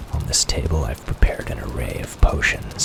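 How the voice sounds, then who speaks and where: A man whispers. His tone is calm. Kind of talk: soft-spoken gameplay tour narration. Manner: soft-spoken, calm.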